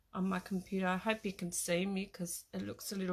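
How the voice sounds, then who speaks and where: A woman with an Australian accent and medium pitch, in a very clean recording with a silent background. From Australia (Tasmania). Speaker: craft product demonstrator. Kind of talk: live craft tutorial. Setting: live stream at her craft desk. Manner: hesitant, many fillers.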